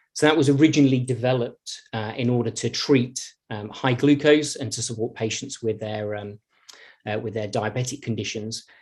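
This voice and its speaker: On a very clean recording with a silent background, a man with a British accent speaks at a medium pitch and moderate pace, somewhat breathy, with fairly even intonation and big swings in loudness. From Britain. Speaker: pharmaceutical innovation director. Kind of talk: conference presentation. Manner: halting, with frequent fillers and repetitions.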